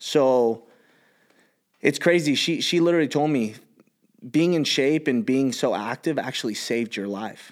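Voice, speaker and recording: A man with a Californian accent speaks at a moderate pace with long, frequent pauses, his fairly high voice showing ordinary pitch variation on a very clean recording with a silent background. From Los Angeles, San Fernando Valley. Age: 30s. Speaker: gym owner and entrepreneur. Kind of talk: casual chat.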